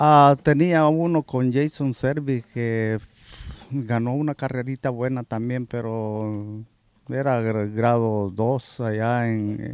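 A man talks at a very slow pace with fairly even intonation, the sound dry with no echo. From El Salvador. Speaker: horse groom. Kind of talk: interview. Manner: halting. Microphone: handheld.

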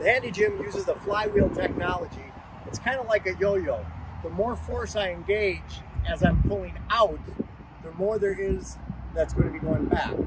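A man at a moderate pace, dry with no echo, over loud background noise. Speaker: fitness product demonstrator. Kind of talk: casual tutorial. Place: street. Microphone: phone near.

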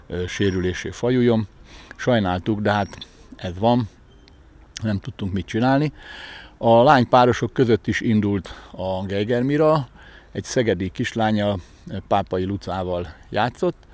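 Speaking at a fairly slow pace with long, frequent pauses, a man uses a fairly low pitch and ordinary pitch variation, and the sound is dry with no echo. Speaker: badminton coach. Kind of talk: interview.

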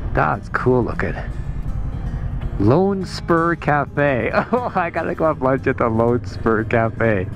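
Faint music plays in the background as a man speaks at a very slow pace, the sound dry with no echo. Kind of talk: casual vlog chat. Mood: surprised at storm clouds. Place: motorbike. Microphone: helmet.

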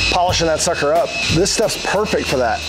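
A man is talking at a moderate speed. Music can be heard behind him. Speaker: car channel host. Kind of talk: casual vlog chat. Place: garage. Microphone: lapel.

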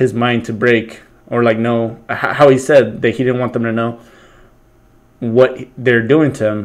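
The background is quiet. A man speaks with monotone, flat intonation. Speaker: reaction commentator. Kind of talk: casual reaction commentary. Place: home room. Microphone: webcam.

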